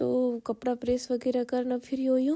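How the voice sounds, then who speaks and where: Her voice is high-pitched and flat in intonation. The woman speaks at a fairly slow pace. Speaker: vlogger. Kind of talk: casual vlog narration. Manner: halting, breathless.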